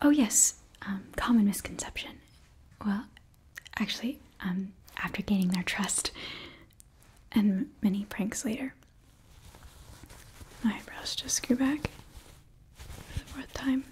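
A woman whispers, soft-spoken, at a fairly slow pace. She leaves long, frequent pauses. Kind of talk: roleplay monologue to viewer. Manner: soft close ASMR whisper-talk. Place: home room.

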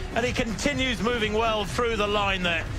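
Music plays behind a man with a high voice speaking at a moderate pace. His voice is raised and projected, his tone animated and dramatic. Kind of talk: live sports commentary. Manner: animated, fluent play-by-play with vivid, dramatic flourishes.

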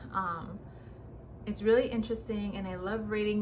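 Against noticeable background noise, a woman speaks in a monotone, flat intonation. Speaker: lifestyle vlogger. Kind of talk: casual vlog monologue. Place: home room. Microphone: phone near.

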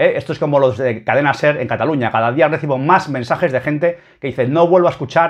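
Over a quiet background, a man speaks at a fairly high pitch. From Spain. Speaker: football YouTuber; football fan video blogger. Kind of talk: opinion commentary reading a column. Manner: animated. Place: home room. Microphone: webcam.

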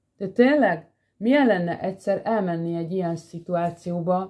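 Against a quiet background, a woman speaks at a moderate pace in a fairly low, dark, mellow voice with ordinary pitch variation. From Hungary. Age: 40s. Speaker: vlogger. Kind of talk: personal monologue. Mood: earnest, emotional, animated. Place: home room. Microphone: phone near.

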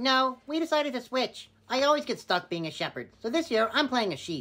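A high-pitched, female-sounding cartoonish character voice. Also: fairly quick pace. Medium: puppet.

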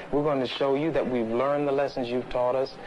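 Over light background noise, a man speaks in a monotone with flat intonation. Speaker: activist in debate. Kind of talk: heated argument. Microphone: old recording.

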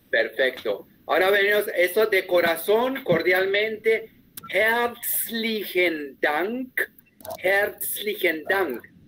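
A man with a German accent and a high pitch speaks at a very slow pace in a raised, projected voice. His loudness stays very even over light background noise. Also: ordinary pitch variation. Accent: Spanish sounds German-tinged. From Colombia. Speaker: German teacher. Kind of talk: online class. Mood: warm, friendly, joking. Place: home room.

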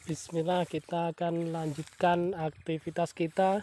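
A man with a high pitch talks at a very slow pace. The sound is dry with no echo. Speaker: rubber tapper vlogger. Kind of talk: casual vlog chat. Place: forest. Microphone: phone near.

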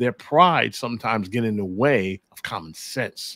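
A man talks with lively intonation over a quiet background, the sound dry with no echo. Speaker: podcast host. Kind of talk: podcast commentary. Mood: exasperated, opinionated. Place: home room.

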